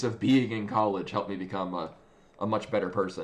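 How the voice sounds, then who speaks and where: A man with a strong American accent, fairly low in pitch, at a moderate pace. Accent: American accent (in Japan; he calls it thick). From United States. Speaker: video game streamer. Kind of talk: casual chat. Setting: live stream. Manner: halting, many fillers and restarts.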